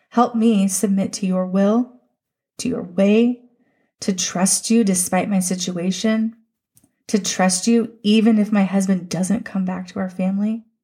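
Somewhat breathy and dark, mellow in tone, a woman speaks at medium pitch and a moderate pace with fairly even intonation. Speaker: podcast host. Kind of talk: fervent prayer, spoken aloud to God, raw and pleading; devotional podcast monologue. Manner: earnest, emotional, pleading, heartfelt.

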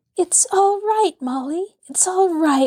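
Putting on a character voice, a woman speaks in an extremely high, shaky pitch with lively intonation at a fairly slow pace, the sound dry and close with no echo. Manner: exultant, reassuring.

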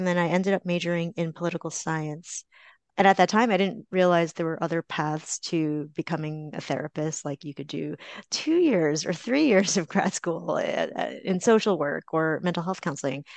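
A woman with a plain, everyday voice speaks at a moderate pace, her fairly low pitch showing ordinary variation. The sound is dry and close with no echo, against a quiet background. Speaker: therapist. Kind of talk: casual chat.

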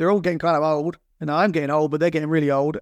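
In a dry, close recording with a quiet background, a man with a London accent talks at a fairly high pitch. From North London, England. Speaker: drummer turned account executive. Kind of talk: interview conversation.

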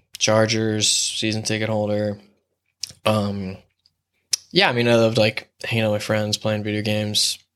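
A man with a Southern Californian accent speaks at a moderate pace in a fairly low pitch, with monotone, flat intonation and long, frequent pauses. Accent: Southern Californian American. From San Diego, California (La Mesa, East County). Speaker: gaffer / set lighting technician. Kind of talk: casual chat.

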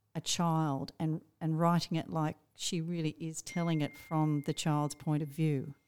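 In an Australian accent, a woman speaks at a fairly low pitch with monotone, flat intonation, captured in a very clean recording with a silent background and a dry, close sound with no echo. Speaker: teacher librarian and podcast co-host. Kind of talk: casual book discussion.

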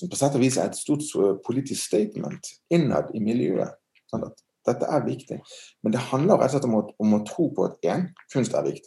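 A man's medium-pitched voice with vocal fry and a dark, mellow tone, at a moderate pace with lively intonation. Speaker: art museum director. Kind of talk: interview. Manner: halting.

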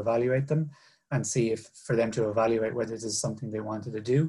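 A man with a Cork accent talks at a very fast pace, his pitch medium and his intonation fairly even. His voice is somewhat breathy, with a dark, mellow tone. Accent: Irish (Cork). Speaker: finance manager. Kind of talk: career talk to students. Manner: halting, many fillers.

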